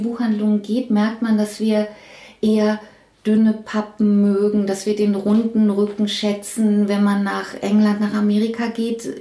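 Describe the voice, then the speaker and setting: A woman speaks in a fairly high, somewhat breathy voice. Her tone is dark and mellow. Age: 50s. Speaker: head of book production at a publisher. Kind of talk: interview. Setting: her office. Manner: halting.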